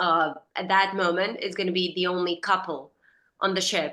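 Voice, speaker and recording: Against a quiet background, a woman with a Serbian accent speaks in a fairly low pitch with a bright, sharp tone. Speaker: actress. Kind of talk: interview.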